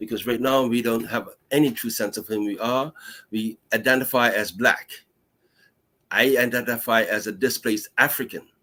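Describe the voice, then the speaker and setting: Against a silent background in a very clean recording, a bright, sharp voice speaks in a flat monotone at a moderate pace. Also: man, medium pitch for a man. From Bermuda. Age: 60s. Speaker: history educator. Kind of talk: lecture. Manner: halting, with frequent fillers.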